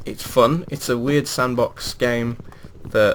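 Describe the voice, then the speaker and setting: This man speaks with a West Midlands accent. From England, West Midlands. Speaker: gaming video creator. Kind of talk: gameplay commentary. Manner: casual, hesitant with fillers.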